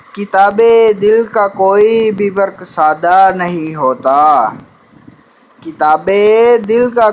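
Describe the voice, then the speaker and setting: The pitch of this man's voice is high, and it varies in an ordinary way. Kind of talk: poetry reading.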